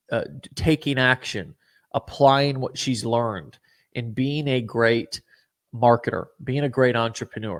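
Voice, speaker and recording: In a very clean recording with a silent background, a man with an American accent speaks at a moderate pace and medium pitch with fairly even intonation. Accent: American-sounding to guest. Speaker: show host and company CEO. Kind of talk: live show interview.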